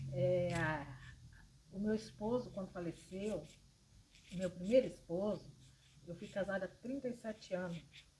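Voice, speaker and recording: A woman with medium pitch and a dark, mellow, somewhat breathy tone speaks at a moderate pace with ordinary pitch variation and long, frequent pauses. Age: 60s. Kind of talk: informal religious talk to camera. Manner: hesitant, with fillers.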